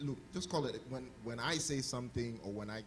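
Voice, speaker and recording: Audible room echo and noticeable background noise surround a man's speech. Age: young. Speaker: husband sharing about marriage. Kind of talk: casual chat.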